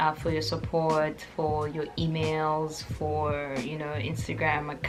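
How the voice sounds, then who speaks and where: Music plays behind a woman who speaks very slowly in an upbeat tone. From South Africa. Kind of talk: casual talk to camera.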